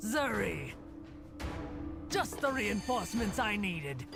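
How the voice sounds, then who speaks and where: A put-on character voice with fairly high pitch moves at a fairly slow pace over loud music in the background. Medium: virtual streamer. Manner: calm, purposeful.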